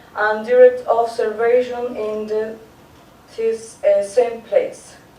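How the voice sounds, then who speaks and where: A woman with a Spanish accent speaks at a very slow pace in a high pitch and a monotone, flat intonation. Audible room echo and noticeable background noise surround her voice. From Chile. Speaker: art teacher presenting research. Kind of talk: conference presentation. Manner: halting, with many fillers.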